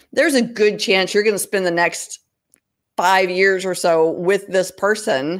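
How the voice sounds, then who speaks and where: At a fairly slow pace, a woman speaks in a normal speaking voice of medium pitch with ordinary pitch variation. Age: 50s. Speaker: freelancer and nonprofit founder. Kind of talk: interview. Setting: video livestream.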